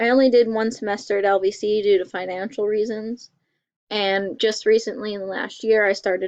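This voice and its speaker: Speaking in a plain, everyday voice, a woman uses a medium pitch and fairly even intonation against a quiet background. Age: 20s. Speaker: college student. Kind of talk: class self-introduction presentation.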